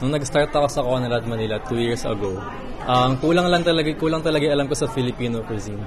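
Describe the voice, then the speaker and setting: A man speaks very fast at a medium pitch with ordinary pitch variation. The room echo is audible, and background noise is noticeable. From Philippines. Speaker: chef. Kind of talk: speech; interview.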